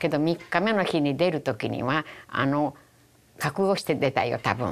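A woman with a Hiroshima accent speaks in a very deep, low pitch with vocal fry. Her intonation is lively. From Japan, Hiroshima; Japan. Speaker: atomic bomb survivor. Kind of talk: testimony. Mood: solemn, reflective. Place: studio. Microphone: lapel.

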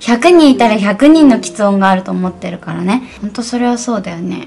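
A woman talks at a very fast pace with lively intonation and a fairly high pitch. Light background noise can be heard. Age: 30s. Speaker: actress. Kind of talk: casual phone conversation. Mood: reflective, warm. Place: home room.

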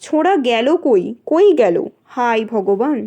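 A woman puts on a character voice, pitched high and marked by very wide pitch swings. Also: moderate pace.

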